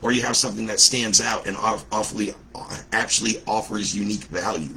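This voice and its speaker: Against noticeable background noise, a man with a fairly low pitch talks very fast in an animated tone. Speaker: business coach. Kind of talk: livestream talk.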